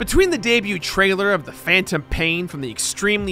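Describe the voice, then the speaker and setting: Faint music plays in the background as a man talks, the sound dry with no echo. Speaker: video essay host. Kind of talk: commentary. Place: studio. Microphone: studio mic.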